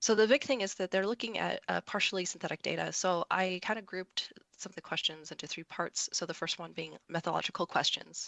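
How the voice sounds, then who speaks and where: Vocal fry runs through this woman's voice. She talks at a fairly quick pace. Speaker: statistics expert, meeting discussant. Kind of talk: presentation in a virtual meeting.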